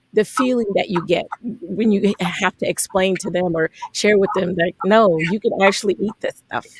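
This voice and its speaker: Speaking in a normal speaking voice with an American accent, a woman holds a medium pitch and fairly even intonation. Her pace is fairly slow and the sound is dry and close with no echo. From South Florida. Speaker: chef and radio host. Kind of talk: radio interview.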